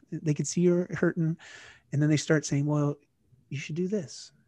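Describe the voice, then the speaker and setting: A man with a Canadian accent speaks in a fairly high pitch and an unremarkable speaking voice. His intonation stays fairly even against a quiet background. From Canada. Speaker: fitness and lifestyle guest. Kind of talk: casual chat.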